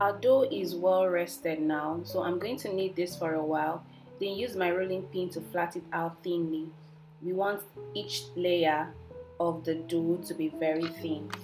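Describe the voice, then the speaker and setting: A woman's fairly low, lively voice at a fairly slow pace, with music in the background. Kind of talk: tutorial.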